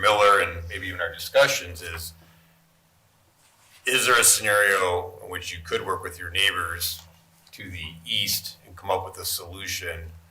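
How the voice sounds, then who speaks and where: A man mumbling at a moderate pace, with audible room echo and noticeable background noise. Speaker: zoning board member. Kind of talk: board meeting deliberation. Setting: public meeting.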